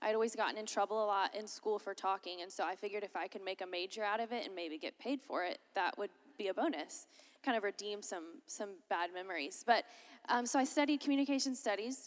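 Her voice, a normal speaking voice, sits fairly high for a woman, moving at a fairly quick pace with ordinary pitch variation. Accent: American. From Florida, US South (Lakeland). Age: 20s. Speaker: college minister. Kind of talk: chapel talk. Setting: chapel with audience.

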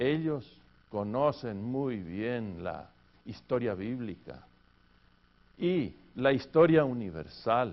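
A man at a medium pitch with lively intonation, a very slow pace and long, frequent pauses, in audible room echo. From Argentina. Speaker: pastor and seminary teacher. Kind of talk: lecture.

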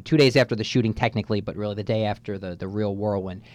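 Speaking very fast against a quiet background, a man with a New Jersey accent keeps a fairly low pitch and fairly even intonation. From North Jersey, USA. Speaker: student radio manager. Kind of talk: radio interview. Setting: radio studio.

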